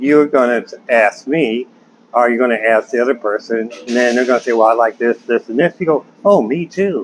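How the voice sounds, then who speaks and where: With noticeable background noise behind him, a man at a medium pitch talks fairly quickly, his pitch varying in an ordinary way. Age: 60s. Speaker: vlogger giving dating advice. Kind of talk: casual monologue to camera. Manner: conversational, with fillers.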